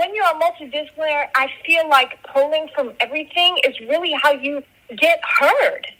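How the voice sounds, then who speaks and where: Against noticeable background noise, a woman uses a raised, projected voice at a high pitch with very even loudness. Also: ordinary pitch variation, moderate pace. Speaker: musician and filmmaker. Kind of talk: interview.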